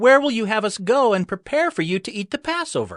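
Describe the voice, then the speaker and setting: A put-on character voice moves at a fairly quick pace with lively intonation. The sound is dry and close, with no echo. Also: man. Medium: audio drama. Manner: respectful.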